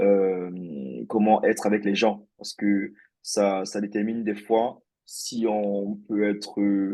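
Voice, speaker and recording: Here a man speaks very slowly in a monotone, flat intonation. His voice is fairly low-pitched, with a dark, mellow tone. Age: 30s. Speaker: software engineer. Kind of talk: interview. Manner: hesitant, many fillers.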